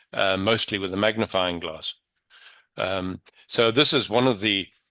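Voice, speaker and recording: A man's fairly low voice, bright and sharp in tone, with ordinary pitch variation, a moderate pace and a quiet background. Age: 60s. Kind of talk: panel discussion.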